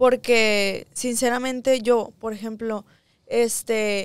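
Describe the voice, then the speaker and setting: Ordinary pitch variation comes through in a dry sound with no echo and a quiet background. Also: woman. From Ensenada, Mexico; Mexico. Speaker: singer; guest. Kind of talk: interview. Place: studio. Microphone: studio mic.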